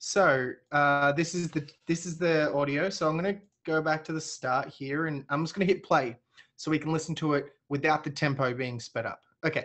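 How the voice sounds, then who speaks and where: A man's fairly high voice at a moderate pace. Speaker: software webinar host. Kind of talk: webinar Q&A and demo. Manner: energetic.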